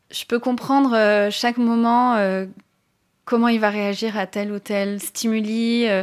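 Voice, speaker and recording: A woman's fairly high voice at a very slow pace, monotone and flat, on a very clean recording with a silent background. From southern France (Tourrettes-sur-Loup, Alpes-Maritimes). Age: 30s. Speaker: animal portrait artist. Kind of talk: personal testimony. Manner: hesitant, many fillers.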